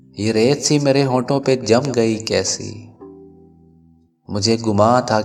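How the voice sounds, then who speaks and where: A man's medium-pitched voice, showing ordinary pitch variation, comes through with music in the background. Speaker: radio jockey, poetry narrator. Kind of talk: poetry reading.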